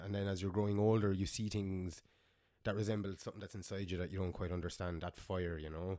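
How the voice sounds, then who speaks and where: A man with a Munster Irish accent and a fairly low pitch, on a very clean recording with a silent background. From Ireland, Clonmel, Tipperary. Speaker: metal band frontman. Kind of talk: casual interview chat.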